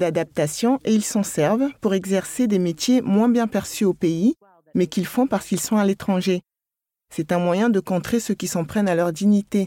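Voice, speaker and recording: Very clean and silent in the background, the recording has a dry, close sound with no echo. A woman speaks at a moderate pace in a medium pitch with a dark, mellow tone, ordinary pitch variation and very even loudness. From United States. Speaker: anthropologist. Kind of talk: interview.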